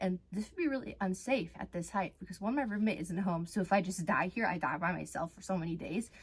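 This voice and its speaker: Her voice is somewhat breathy. The woman talks at a very fast pace. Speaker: content creator. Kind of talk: casual vlog. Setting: at home, in closet. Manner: animated.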